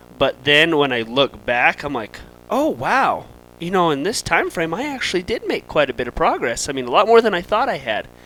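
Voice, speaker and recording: Loud and fairly quick, a man speaks at a high pitch with very wide swings and a bright, sharp tone. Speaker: firefighter. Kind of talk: casual chat.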